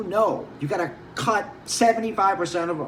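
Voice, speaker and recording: Over noticeable background noise and audible room echo, a man talks in an animated tone. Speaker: wine merchant. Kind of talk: casual monologue.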